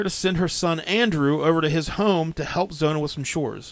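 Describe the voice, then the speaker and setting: The speaker has a plain, everyday voice with an American accent. The pace is moderate, on a very clean recording with a silent background. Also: man. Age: 30s. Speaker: podcast host. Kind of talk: storytelling narration from research notes.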